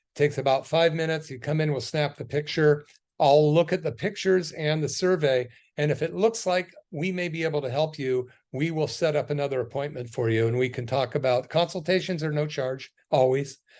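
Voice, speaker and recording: Against a quiet background, a man talks in an ordinary speaking voice at a fairly high pitch and a fairly quick pace, with ordinary pitch variation. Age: 60s. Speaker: chiropractor and wellness radio host. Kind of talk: radio health talk with promotion. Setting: radio studio. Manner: casual with filler words.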